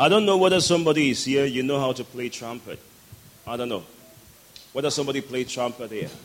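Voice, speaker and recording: Over noticeable background noise, a man speaks very fast in an animated tone at a medium pitch with ordinary pitch variation, yet takes long, frequent pauses. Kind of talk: sermon, preacher in full flow leading prayer and call-and-response with congregation. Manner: animated, fervent, exhorting the crowd with rousing commands; rhythmic and emphatic, pausing for crowd responses.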